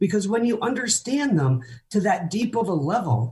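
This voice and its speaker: Vocal fry runs through a woman's voice. She talks at a fairly slow pace with very wide pitch swings. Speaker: fundraising auctioneer and keynote speaker. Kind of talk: interview answer.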